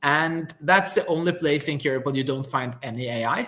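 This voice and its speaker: A man with a Norwegian accent has a bright, sharp tone, a fairly high pitch and ordinary pitch variation. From Norway. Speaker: company founder. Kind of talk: live webinar demo conversation.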